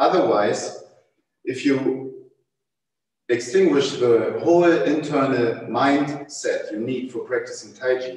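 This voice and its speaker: A man with a German accent, very slow, in audible room echo. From Germany. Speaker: tai chi teacher. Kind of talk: panel discussion. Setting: livestream video call. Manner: halting.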